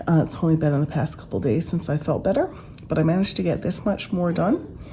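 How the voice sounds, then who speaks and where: A woman speaks at a fairly quick pace in a somewhat breathy voice. Her pitch is fairly low, with ordinary variation. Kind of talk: casual craft vlog talk to camera.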